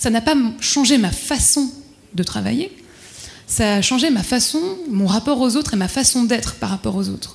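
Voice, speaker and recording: A woman speaks at a moderate pace and fairly high pitch. Her pitch variation is ordinary, with noticeable background noise. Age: 30s. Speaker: corporate employee. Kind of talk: panel discussion. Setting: dinner debate with audience. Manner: halting.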